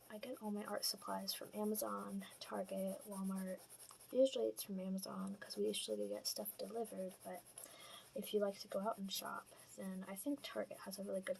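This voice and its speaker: A soft-spoken woman whispers at a fairly quick pace. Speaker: portrait artist, art channel creator. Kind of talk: casual tutorial talk over drawing timelapse.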